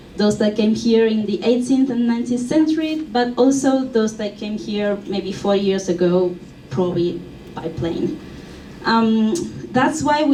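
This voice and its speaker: Her intonation is lively as this woman speaks at a moderate pace and a fairly high pitch. Noticeable background noise is present. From Argentina. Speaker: museum curator and exhibition designer. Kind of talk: conference presentation.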